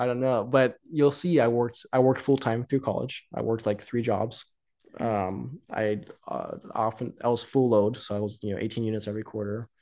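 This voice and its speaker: Over a quiet background, a man with an unremarkable speaking voice talks at a fairly quick pace, medium in pitch, with fairly even intonation. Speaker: date partner, guest. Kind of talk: casual chat.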